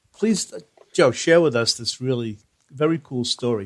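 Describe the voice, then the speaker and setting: A man speaks at a moderate pace with a New Jersey accent. His medium-pitched voice has lively intonation. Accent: American (New Jersey). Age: 60s. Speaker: podcast host. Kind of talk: interview.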